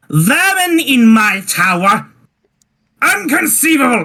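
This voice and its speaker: A put-on character voice with a fairly high pitch moves at a fairly slow pace through very wide pitch swings. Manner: indignant.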